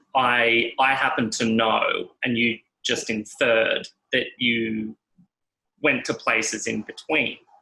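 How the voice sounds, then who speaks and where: A man with an Australian accent speaks very slowly, with long, frequent pauses. His tone is bright and sharp, and his intonation monotone and flat. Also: medium pitch for a man. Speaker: podcast host. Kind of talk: casual chat.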